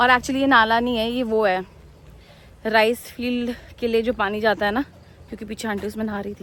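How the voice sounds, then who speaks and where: The speech has long, frequent pauses. Its intonation is monotone and flat. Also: woman, fairly high pitch for a woman, moderate pace. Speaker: travel vlogger. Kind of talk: casual vlog. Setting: outdoors. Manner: loud.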